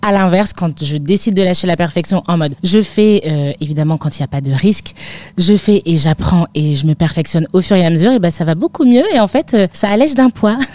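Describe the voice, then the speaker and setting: A woman with a normal speaking voice talks at a fairly quick pace and fairly low pitch with lively intonation, in a dry, close sound with no echo. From northern France, near Lille. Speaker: midwife. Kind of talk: interview.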